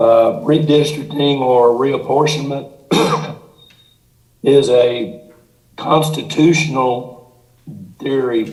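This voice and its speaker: Someone speaks at a fairly slow pace with audible room echo. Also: man. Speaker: redistricting consultant. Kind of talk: presentation to city council.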